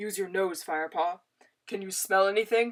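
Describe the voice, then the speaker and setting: Delivered at a moderate pace, the put-on character voice stays at a middle pitch. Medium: read story. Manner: gentle, calm.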